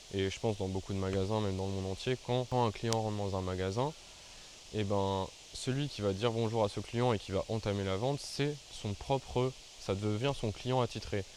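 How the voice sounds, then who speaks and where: A man with a fairly low pitch speaks at a moderate pace and with fairly even intonation. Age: 20s. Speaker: YouTuber. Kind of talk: storytelling vlog. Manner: casual, hesitant with fillers.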